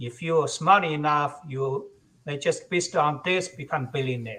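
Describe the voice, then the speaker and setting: A man talks at a fairly slow pace. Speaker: patent attorney. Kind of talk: lecture. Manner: halting, many fillers.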